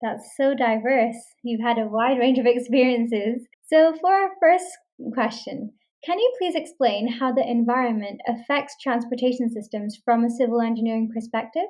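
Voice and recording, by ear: Her voice fairly high-pitched and slightly mellow, a woman talks at a moderate pace with ordinary pitch variation.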